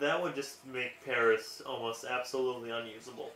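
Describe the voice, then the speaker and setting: A man mumbles at a moderate pace with a medium pitch. Noticeable background noise runs underneath. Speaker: gaming let's play commentator. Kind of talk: casual game commentary. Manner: mumbling; hesitant with fillers.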